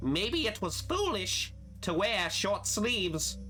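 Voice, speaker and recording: Over clear background music, a man uses a put-on character voice at a fairly slow pace. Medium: game stream.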